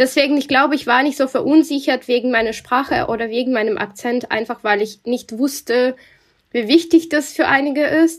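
This woman's pitch sits high. She talks at a moderate pace, and her pitch varies in an ordinary way. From Russia. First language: Russian (speaking German). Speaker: journalist. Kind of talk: interview.

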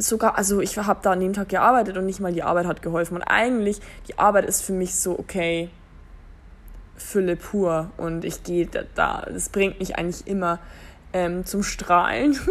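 Here a woman speaks at a moderate pace with a medium pitch. She takes long, frequent pauses. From Germany. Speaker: podcast host. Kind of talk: casual monologue. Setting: lying in bed at home. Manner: hesitant, many fillers.

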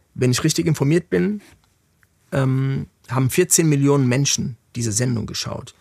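This man speaks at a medium pitch with a dark, mellow tone and lively intonation. His pace is moderate, broken by long, frequent pauses. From Germany, Frankfurt. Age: 40s. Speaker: music industry executive. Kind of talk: interview conversation.

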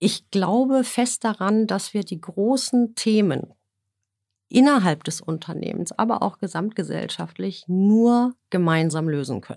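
A woman's lively intonation comes through as she speaks fairly slowly. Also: medium pitch for a woman, very clean recording, silent background. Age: 50s. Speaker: energy company HR executive. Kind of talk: business interview. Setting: podcast studio. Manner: hesitant fillers.

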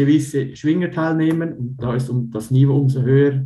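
A man speaks fairly slowly with fairly even intonation, his fairly high voice dark, mellow and somewhat breathy against audible room echo. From Switzerland, canton of Uri. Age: 30s. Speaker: Swiss wrestler. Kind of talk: interview.

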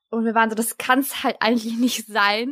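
A woman talks at a fairly quick pace in an unremarkable speaking voice. Her pitch is fairly high. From Germany, Turkish family. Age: 20s. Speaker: podcaster and student. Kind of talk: casual chat. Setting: remote call.

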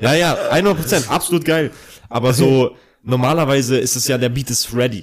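A plain, everyday voice from a man, medium in pitch, at a moderate pace with ordinary pitch variation. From Bavaria (Ingolstadt). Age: 30s. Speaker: rapper. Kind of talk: casual chat. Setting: indoor recording.

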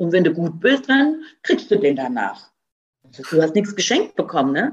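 A woman with a fairly low voice speaks at a moderate pace. Her pitch swings very widely. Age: 50s. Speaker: food company founder. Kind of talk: interview.

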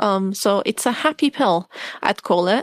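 A woman speaks with an Arabic accent. The recording is very clean, with a silent background. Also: dry, close sound with no echo. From Syria (Damascus). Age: 20s. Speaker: pilot and refugee advocate. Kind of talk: interview.

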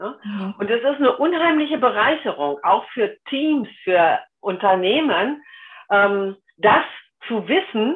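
At a very slow pace, a woman speaks in a fairly high pitch with very wide pitch swings. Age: 60s. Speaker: human design coach and web copywriter. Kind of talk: interview.

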